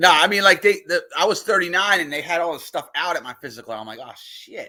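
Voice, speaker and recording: A man's high-pitched voice at a very fast pace, bright and sharp, with lively intonation and big swings in loudness. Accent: American. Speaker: podcast host. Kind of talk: casual chat. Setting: live stream.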